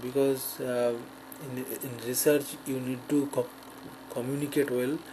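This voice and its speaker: A man's monotone, flat delivery over noticeable background noise. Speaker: person who stutters, graduate student. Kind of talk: personal testimony. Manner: halting.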